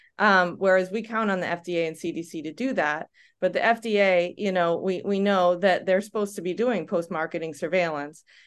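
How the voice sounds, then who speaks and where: With hardly any pauses, a woman in an American accent talks at a moderate pace and medium pitch, with fairly even intonation over a quiet background. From United States. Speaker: podcast co-host, physician and researcher. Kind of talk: casual interview chat. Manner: halting, many fillers.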